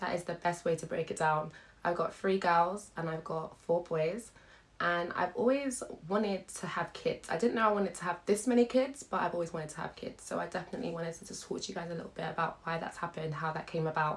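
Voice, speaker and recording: A fairly low-pitched woman with a British accent, very fast in pace, with ordinary pitch variation. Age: 20s. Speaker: YouTuber, stay-at-home mother. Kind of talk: casual vlog chat.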